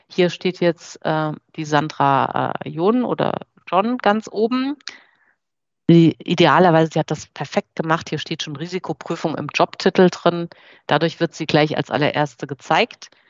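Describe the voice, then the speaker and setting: A woman's unremarkable speaking voice, an unremarkable speaking voice at a fairly low pitch and a fairly slow pace. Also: ordinary pitch variation. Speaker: marketing director. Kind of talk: webinar presentation.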